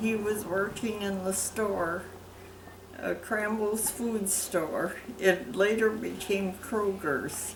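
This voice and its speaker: Very slow speech from a woman of medium pitch, fairly even intonation, audible room echo and noticeable background noise. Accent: American. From US Midwest, Wisconsin. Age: 80s+. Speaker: interviewee, military wife. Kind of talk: oral history interview. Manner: halting.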